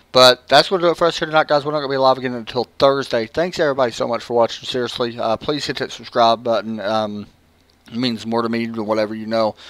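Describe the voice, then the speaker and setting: In a very clean recording with a silent background, a man with a Southern US accent talks at a very fast pace with ordinary pitch variation. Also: medium pitch for a man. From Tennessee. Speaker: sim racing broadcaster. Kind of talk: casual sign-off to viewers. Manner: casual, hesitant.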